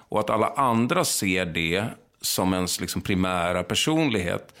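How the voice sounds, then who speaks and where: The background is silent in this very clean recording of a man whose pitch is very deep and low. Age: 40s. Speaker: film director and actor. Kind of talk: casual interview chat. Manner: halting, many false starts.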